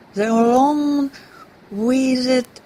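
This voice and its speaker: Over noticeable background noise, a woman speaks at a very slow pace with fairly even intonation. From Russia. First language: Russian. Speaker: actress. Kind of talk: poetry reading.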